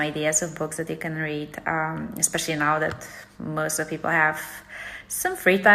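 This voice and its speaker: A woman with a Polish accent speaks at a very deep, low pitch. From Poland. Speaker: book vlogger. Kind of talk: casual vlog monologue.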